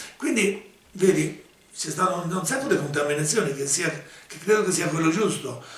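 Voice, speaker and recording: A man with a high pitch and lively intonation speaks at a moderate pace, his loudness swinging widely, with long, frequent pauses and noticeable background noise. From Marche, Italy. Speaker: ethnomusicologist and folk musician. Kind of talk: interview answer.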